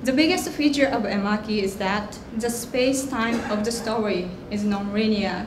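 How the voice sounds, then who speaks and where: Noticeable background noise surrounds a woman speaking with a Japanese accent. Her fairly high voice moves at a moderate pace with ordinary pitch variation and hardly any pauses. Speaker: artist; guest. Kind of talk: prepared presentation. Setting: stage with audience. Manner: hesitant. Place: hall. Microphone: podium.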